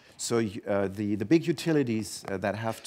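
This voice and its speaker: A man talks at a moderate pace. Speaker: presenter. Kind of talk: conference presentation. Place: stage. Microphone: headset.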